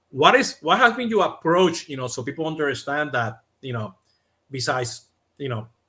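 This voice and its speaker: Bright, sharp tone at a moderate pace. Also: man. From Latin America. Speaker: podcast host, CRM consultant. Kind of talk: interview. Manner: many fillers, halting.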